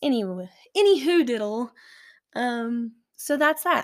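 In a Southern US accent, a woman speaks at a fairly slow pace with an animated tone and lively intonation on a very clean recording with a silent background. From Alabama. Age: 20s. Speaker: podcast host and aerial skier. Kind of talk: casual monologue.

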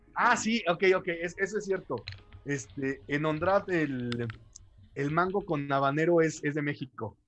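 Speaking at a fairly slow pace, a man uses a fairly high voice with lively intonation. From Mexico City. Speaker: martial arts instructor and radio host. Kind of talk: casual chat.

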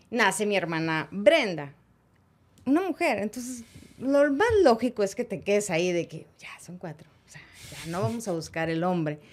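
Music plays behind a woman speaking at a medium pitch and a moderate pace. Her pitch swings very widely and her loudness shifts a lot. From Monterrey, Mexico. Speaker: sports broadcaster. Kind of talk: interview.

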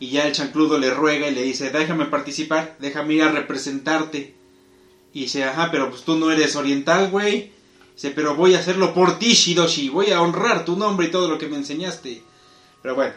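This man's voice sits fairly high. He talks rather quickly. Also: ordinary pitch variation. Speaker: podcast host. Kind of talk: casual chat. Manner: animated.

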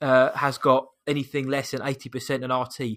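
A man speaks with a British accent and a bright, sharp tone. The recording is very clean, with a silent background. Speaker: podcast host. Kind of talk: casual chat.

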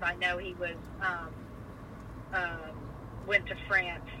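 A woman speaks with an American accent. Noticeable background noise is present. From Virginia. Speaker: family member interviewed about family history. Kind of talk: casual family conversation.

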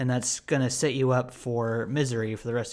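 A man speaks at a medium pitch. His pace is fairly slow. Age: 20s. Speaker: podcast host. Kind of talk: casual chat. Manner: unscripted, with many fillers.

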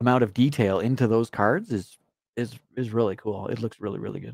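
A man with a Canadian accent talks at a fairly quick pace on a very clean recording with a silent background. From Canada. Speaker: co-host. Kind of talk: casual live talk show banter.

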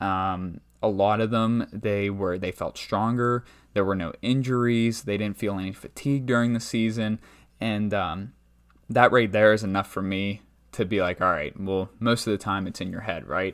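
In a very clean recording with a silent background, a man with a plain, everyday voice speaks at a moderate pace with fairly low pitch and fairly even intonation. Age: 20s. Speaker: strength coach and podcast host. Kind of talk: solo podcast monologue. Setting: talking into a microphone. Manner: casual, many filler words.

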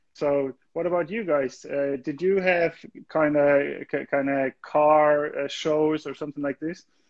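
A man with a German accent speaks at a very slow pace with fairly even intonation. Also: fairly high pitch for a man. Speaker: music label livestream host. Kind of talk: casual interview. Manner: halting.

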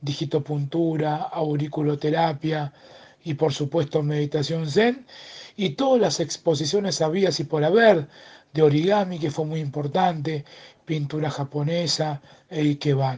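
A man speaks in a fairly high pitch at a very slow pace. His intonation stays fairly even. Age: 50s. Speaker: press director of a cultural garden. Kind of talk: interview.

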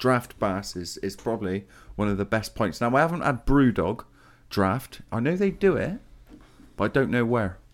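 On a very clean recording with a silent background, a man with an English accent speaks at medium pitch and a moderate pace, with lively intonation. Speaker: podcast co-host. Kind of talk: casual chat. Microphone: new mic.

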